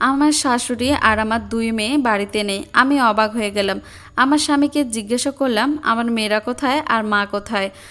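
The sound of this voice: Ordinary pitch variation carried by an unforced reading voice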